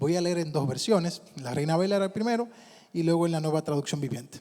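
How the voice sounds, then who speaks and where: This is a man's voice. His pitch is high. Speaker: pastor. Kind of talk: sermon.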